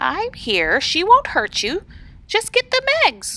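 In a put-on character voice, a soft-spoken woman talks at an extremely high pitch and a fairly slow pace. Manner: soft, reassuring.

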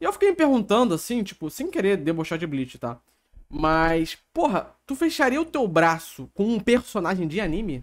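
At a moderate pace, a man speaks with a high pitch. His pitch swings very widely. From Brazil. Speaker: streamer reacting to reality show. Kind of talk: casual live-stream reaction chat. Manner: joking, irreverent. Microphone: headset.

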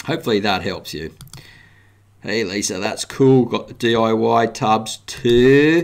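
A man with an Australian accent speaks very slowly at a medium pitch, his intonation lively. The background is quiet. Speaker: gardening YouTuber and worm farming teacher; gardening YouTuber, worm farming teacher. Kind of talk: live interactive show, educational talk. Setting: live stream from home. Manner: friendly, casual, conversational.

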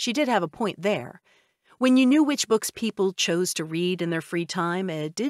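Lively intonation in plain reading aloud, the background quiet

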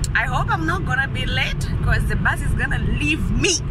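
A woman talks at a very slow pace over loud background noise, the sound dry with no echo. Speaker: vlogger. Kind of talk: casual vlog chat. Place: car. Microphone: phone near.

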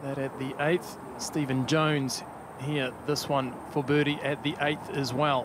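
Over noticeable background noise, a man talks at a fairly slow pace in a fairly high-pitched, monotone voice with flat intonation. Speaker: golf commentator. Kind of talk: live golf commentary over highlights. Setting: voiceover on highlight reel.

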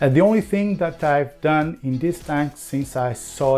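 Faint music in the background behind a man talking at a fairly slow pace. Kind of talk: casual vlog chat. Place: kitchen.

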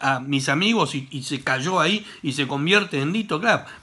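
Against a quiet background, a man with a Rioplatense accent speaks at a moderate pace. His tone is bright, sharp and animated, with lively intonation. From Argentina. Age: 60s. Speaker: gaming YouTuber; gaming video creator. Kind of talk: comedic rant to camera; casual vlog chat, mocking commentary. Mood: joking, teasing. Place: home room. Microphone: webcam.

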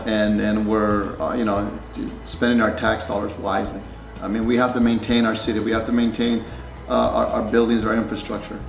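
Clear music plays behind a man talking at a fairly quick pace, with audible room echo. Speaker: council candidate. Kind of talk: interview answer. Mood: friendly, smiling.

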